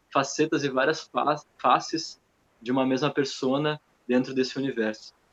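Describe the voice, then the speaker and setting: In a flat, monotone delivery, a man talks fairly quickly with a fairly high pitch. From southern Brazil. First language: Portuguese. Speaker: dance artist. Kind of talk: post-show Q&A talk.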